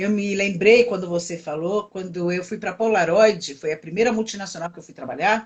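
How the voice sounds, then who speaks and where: Delivered at a moderate pace with hardly any pauses, this is an ordinary speaking voice with ordinary pitch variation and big swings in loudness. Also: woman, medium pitch for a woman. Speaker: coach. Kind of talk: live stream discussion. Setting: live video stream.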